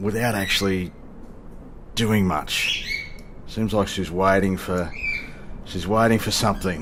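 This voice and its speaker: A man with a fairly low pitch speaks at a fairly slow pace with long, frequent pauses and fairly even intonation, over noticeable background noise. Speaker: flight sim video creator. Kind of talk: casual gameplay commentary. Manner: hesitant, casual, many fillers.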